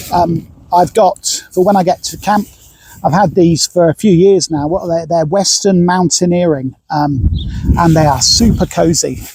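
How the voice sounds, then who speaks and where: A man speaks in a high pitch with a British accent. His pace is moderate and his pitch variation ordinary. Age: 60s. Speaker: hiker vlogger. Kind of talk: kit review tutorial. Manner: hesitant, many fillers; casual.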